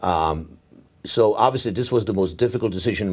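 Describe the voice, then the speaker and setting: Someone with a Czech accent speaks at a fairly quick pace. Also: man. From Czechoslovakia. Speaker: neurologist. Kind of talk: oral history interview. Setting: medical congress. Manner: halting, many fillers.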